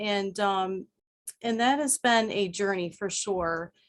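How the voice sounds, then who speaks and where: A woman's voice with lively intonation. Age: 30s. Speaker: panel speaker at a women's empowerment event. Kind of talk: personal testimony. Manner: hesitant, many filler words.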